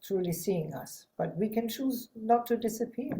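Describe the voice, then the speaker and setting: The voice has ordinary pitch variation and moves at a moderate pace. It sounds somewhat breathy. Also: woman. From Germany (Hanover). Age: 60s. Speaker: psychotherapist and healer. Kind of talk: podcast interview.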